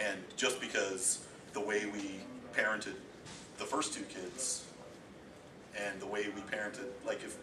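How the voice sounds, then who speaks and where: A man's fairly low voice with ordinary pitch variation, a moderate pace, long and frequent pauses, and noticeable background noise. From Eastern Ontario, Canada. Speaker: homeschooling parent giving a talk. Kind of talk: informal talk to a group. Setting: presentation with audience.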